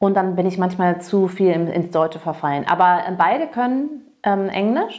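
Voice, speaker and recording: A woman talks at a fairly slow pace and medium pitch with hardly any pauses, keeping her loudness very even and her pitch variation ordinary. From US, Massachusetts (Cape Cod). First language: English (speaking German). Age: 40s. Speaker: interview guest. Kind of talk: casual interview.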